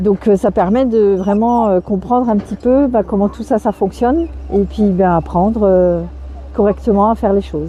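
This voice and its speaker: A woman speaks at a moderate pace with a medium pitch and ordinary pitch variation. Noticeable background noise runs beneath her. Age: 60s. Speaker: goat farmer. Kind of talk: interview.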